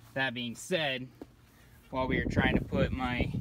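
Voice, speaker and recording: The man's voice comes through dry, with no echo. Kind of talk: casual tutorial narration. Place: street. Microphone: phone near.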